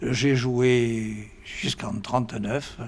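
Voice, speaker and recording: A man talks at a medium pitch against noticeable background noise. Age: 80s+. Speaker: former rugby player. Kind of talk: interview testimony. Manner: halting.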